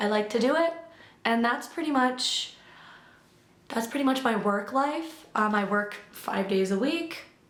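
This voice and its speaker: Against noticeable background noise and audible room echo, a woman with an American accent talks at a fairly slow pace, her high pitch and lively intonation broken by long, frequent pauses. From US Midwest, Illinois. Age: 20s. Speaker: vlogger. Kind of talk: casual chat. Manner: rambling casual with fillers.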